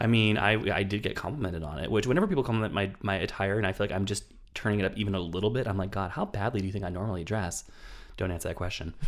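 A man rushes along at a very fast pace, his fairly low voice moving with ordinary pitch variation. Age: 30s. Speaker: film podcast host. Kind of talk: casual chat. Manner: animated.

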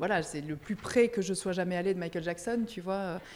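A woman speaks at a medium pitch with ordinary pitch variation and a dark, mellow tone. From Belgium. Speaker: music press officer. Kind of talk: casual interview. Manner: halting, many repeated words.

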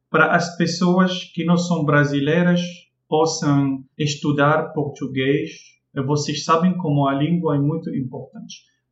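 With an Arabic accent, a man talks at a fairly slow pace, his fairly high pitch held in fairly even intonation. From Morocco, Casablanca. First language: Arabic (speaking Portuguese). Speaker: language teacher. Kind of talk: casual chat. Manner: halting.

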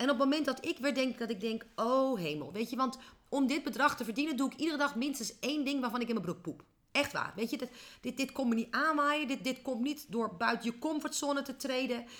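Animated and high-pitched, a woman speaks at a fairly quick pace with ordinary pitch variation. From Netherlands, small village. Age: 40s. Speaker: business coach. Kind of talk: interview. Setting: office.

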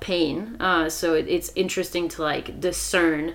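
A woman with a fairly low voice speaks at a moderate pace over noticeable background noise. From France. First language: French. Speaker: wilderness retreat facilitator. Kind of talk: casual chat.

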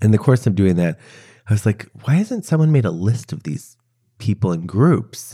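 A man speaks at a medium pitch and a moderate pace, with a dark, mellow tone. His voice is somewhat breathy and swings very widely in pitch. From US Midwest, Chicago. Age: 40s. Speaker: activist and author. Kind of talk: interview conversation. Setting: at home.

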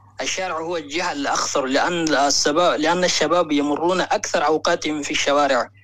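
This man has an ordinary speaking voice with a fairly high pitch. His pace is moderate and his intonation fairly even. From Mali. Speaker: caller. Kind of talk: phone-in call.

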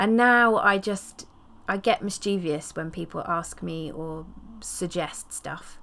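A warm tone at a very slow pace, with ordinary pitch variation and big swings in loudness. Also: woman, fairly low pitch for a woman. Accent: English. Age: 40s. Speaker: podcast host, herbalist and period activist. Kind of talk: personal storytelling monologue. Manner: casual and warm.

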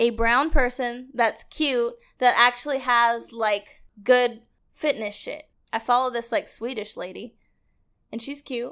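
On a very clean recording with a silent background, a woman with an American accent speaks at a high pitch and a fairly slow pace. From Edmonds, Washington, US Pacific Northwest. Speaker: podcast guest. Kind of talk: casual chat. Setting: studio.

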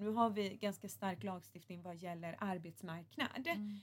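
Her voice sits at a medium pitch and sounds somewhat breathy. The woman's pitch varies in an ordinary way. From Gothenburg, Sweden. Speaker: politician. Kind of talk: podcast interview.

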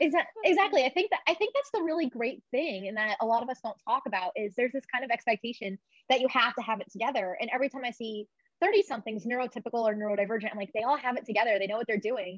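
Very fast speech with lively intonation in a dry, close sound with no echo. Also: woman, high pitch for a woman. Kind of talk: casual interview chat.

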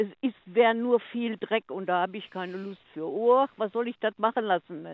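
Delivered at a moderate pace with ordinary pitch variation, this is an unremarkable speaking voice. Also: woman. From Ruhr area, Germany (Oberhausen). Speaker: caller. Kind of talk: casual chat. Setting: phone call.

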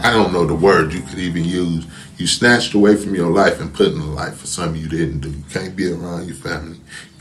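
With noticeable background noise and audible room echo, a man with an American accent and a very deep, low pitch talks at a very fast pace, with ordinary pitch variation and big swings in loudness. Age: 40s. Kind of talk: testimony.

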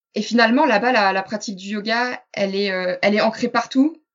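Speaking at a moderate pace, a woman uses a normal speaking voice, fairly high in pitch, with fairly even intonation. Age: 20s. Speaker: yoga teacher. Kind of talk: interview.

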